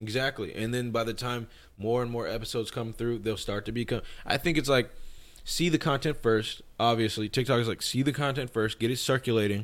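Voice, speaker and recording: Here is an ordinary speaking voice at a fairly quick pace, with fairly even intonation. The recording is very clean, with a silent background. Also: man, medium pitch for a man. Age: 20s. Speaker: music producer and YouTuber. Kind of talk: casual chat.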